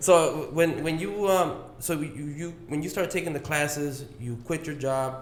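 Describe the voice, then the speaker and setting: A man's fairly high, fairly slow speech with hardly any pauses, amid noticeable background noise and audible room echo. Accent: American. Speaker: podcast host. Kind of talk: casual chat. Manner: monotone; relaxed.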